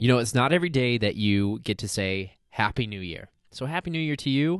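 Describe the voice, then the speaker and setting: A man with a normal speaking voice talks at a fairly quick pace with medium pitch and lively intonation over a quiet background. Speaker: podcast host. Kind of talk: interview.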